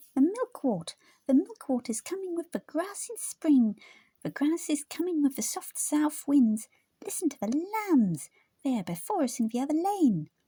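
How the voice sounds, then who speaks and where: A female-sounding put-on character voice comes through at a high pitch. The pace is moderate. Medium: read story.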